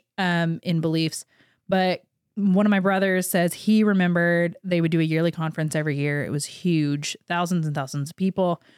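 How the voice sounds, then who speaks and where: A woman's fairly low voice with an American accent, a normal speaking voice at a moderate pace, dry and close with no echo in a very clean recording with a silent background. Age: 30s. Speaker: church-raised former student, interview guest. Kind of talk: casual interview chat. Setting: studio.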